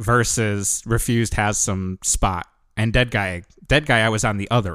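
A man with an American accent, an unremarkable speaking voice and a fairly low pitch, at a moderate pace with ordinary pitch variation, on a very clean recording with a silent background. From US Northeast (Connecticut). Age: 40s. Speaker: hardcore band musician. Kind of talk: casual chat. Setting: outdoors on a porch.

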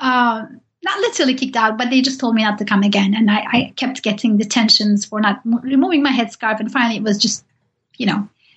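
A woman speaks with a Turkish accent. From Turkey. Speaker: professor. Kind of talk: interview. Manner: halting.

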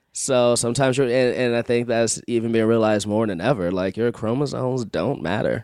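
A man's medium-pitched voice, an ordinary speaking voice, fairly even in intonation, at a fairly quick pace with hardly any pauses. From Chicago. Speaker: improviser and actor. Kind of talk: casual chat.

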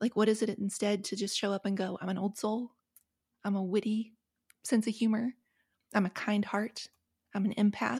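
With an American accent, this speaker talks at a moderate pace in a monotone, flat way, somewhat breathy, with long, frequent pauses and a dry, close sound free of echo. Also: woman, medium pitch for a woman. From US South, rural West Virginia. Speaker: author and podcast host. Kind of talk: interview conversation. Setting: remote recording.

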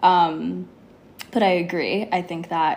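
Here is a woman with a Californian accent. Her pitch is fairly low. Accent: Californian American. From Los Angeles, California. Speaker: yoga teacher. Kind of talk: casual chat.

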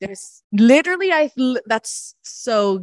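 A woman speaks at a high pitch with a Southern Californian accent. The sound is dry and close with no echo, over a quiet background. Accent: Southern California American. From Los Angeles, San Fernando Valley. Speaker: improviser and sketch comedian. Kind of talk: casual chat. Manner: chatty.

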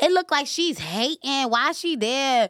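With an American accent, a woman speaks in a raised, projected voice at a high pitch, her tone bright and sharp and her intonation lively, at a moderate pace in a dry, close sound with no echo. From New York, Staten Island. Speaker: rapper and social media personality. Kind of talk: casual chat.

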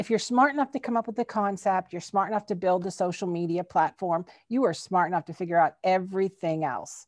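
The voice is an ordinary speaking voice, at a fairly quick pace with ordinary pitch variation. The background is quiet, and the sound is dry and close with no echo. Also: woman. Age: 50s. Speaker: sewing shop owner. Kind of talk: interview.

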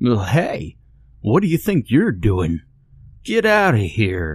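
A man does a put-on character voice at a fairly slow pace, his pitch medium. It swings very widely up and down. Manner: goofy.

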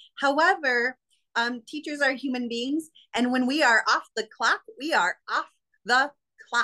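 This woman speaks fairly slowly in a high, raised, projected voice with a bright, sharp tone and ordinary pitch variation, recorded dry and close with no echo. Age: 40s. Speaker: fired schoolteacher and online content creator. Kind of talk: interview testimony.

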